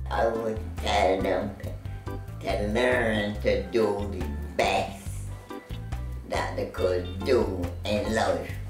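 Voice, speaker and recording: A woman talks at a very slow pace, leaving long, frequent pauses. Audible room echo and clear background music fill the recording. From Barbados. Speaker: centenarian interviewee. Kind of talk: interview answer. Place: home room.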